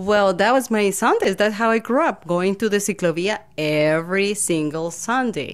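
With a Colombian accent, a woman talks at a moderate pace and very even loudness, with hardly any pauses and ordinary pitch variation. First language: Spanish. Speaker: voice actor. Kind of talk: interview answer. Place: home room. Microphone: studio mic.

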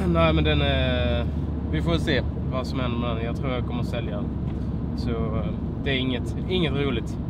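Loud background noise behind a man talking at a fairly quick pace. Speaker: car vlogger. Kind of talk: casual vlog chat. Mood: relaxed, mildly disappointed. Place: car. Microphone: phone near.

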